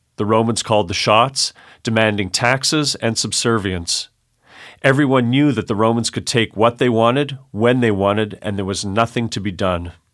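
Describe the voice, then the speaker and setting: A plain, everyday voice with a Canadian accent, ordinary pitch variation and a moderate pace, on a very clean recording with a silent background. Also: man, medium pitch for a man. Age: 40s. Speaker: high school Bible teacher. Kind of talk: condensed sermon reading in studio. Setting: studio.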